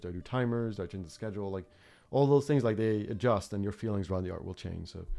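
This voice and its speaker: Speaking very fast with a non-native accent, a man uses a fairly low, dark and mellow voice with ordinary pitch variation. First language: not English. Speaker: art teacher. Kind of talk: live stream chat. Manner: halting, many fillers.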